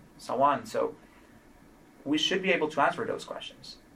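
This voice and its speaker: This is a man speaking with a Spanish accent. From Colombia, Cali. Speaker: trauma outcomes physician scientist. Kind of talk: interview conversation.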